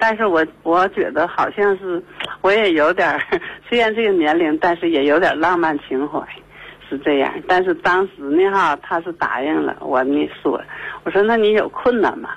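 A woman speaks at a moderate pace with fairly low pitch and ordinary pitch variation. Noticeable background noise runs under her voice. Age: 50s. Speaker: radio call-in caller. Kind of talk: call-in conversation about personal problem. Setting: phone call. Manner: hesitant, many fillers and repetitions.

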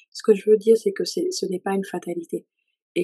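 The sound is dry and close with no echo. A woman speaks at a medium pitch. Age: 30s. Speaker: worship leader and author. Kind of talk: testimony.

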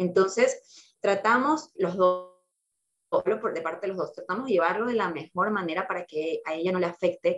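A woman talks at a moderate pace in a medium pitch. Hers is a plain, everyday voice. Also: ordinary pitch variation. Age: 20s. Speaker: single mother sharing her experience. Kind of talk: casual chat.

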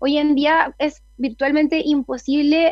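A woman with a Chilean accent and a flat, monotone delivery. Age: 20s. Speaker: political candidate and lawyer. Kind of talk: radio interview. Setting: video call into radio show.

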